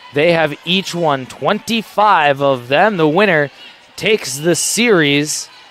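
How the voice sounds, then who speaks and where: A man with an American accent and lively intonation, with music in the background. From Wisconsin. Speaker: play-by-play broadcaster. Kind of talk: live sports commentary. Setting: gym broadcast. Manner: loud.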